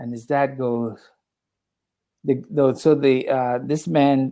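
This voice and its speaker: A man with an American accent speaks at a fairly high pitch in a dark, mellow tone, with ordinary pitch variation. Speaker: English tutor. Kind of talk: casual chat.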